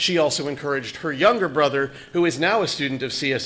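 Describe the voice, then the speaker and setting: Noticeable background noise sits behind the voice. The pace is moderate, with ordinary pitch variation. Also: man. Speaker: parent, public commenter. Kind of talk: public comment at school board meeting.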